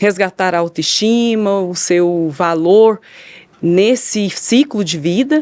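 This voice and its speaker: Her pitch is medium for a woman, with ordinary pitch variation. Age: 40s. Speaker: social worker. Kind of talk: podcast interview. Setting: studio.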